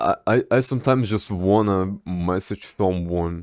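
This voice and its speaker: The pace is very slow. It is a very clean recording with a silent background. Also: man. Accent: Russian. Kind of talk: casual talk to camera. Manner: rambling, stammering.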